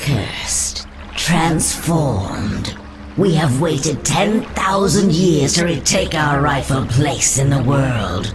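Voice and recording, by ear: A woman speaks in a put-on character voice, low-pitched for a woman, at a very slow pace with few pauses and lively intonation, over audible room echo and clear background music.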